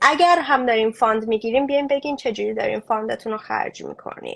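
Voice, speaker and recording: A woman with a Mashhadi accent talks at a very fast pace. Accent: Mashhadi Persian. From Iran, Mashhad. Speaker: refugee aid activist. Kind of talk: interview conversation. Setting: online live stream.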